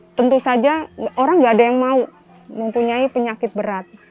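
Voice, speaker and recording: A woman's fairly high pitch with fairly even intonation, music in the background. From Jakarta, Indonesia. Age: 40s. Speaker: community health volunteer. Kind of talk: documentary interview.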